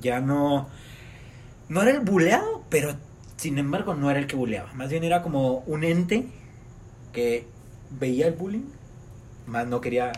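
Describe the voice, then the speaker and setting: Speaking fairly slowly with long, frequent pauses, a man uses lively intonation at a fairly high pitch. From Mexico. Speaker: friend of the host. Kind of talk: casual chat.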